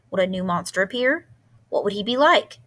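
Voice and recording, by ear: The voice is reading aloud in a natural voice.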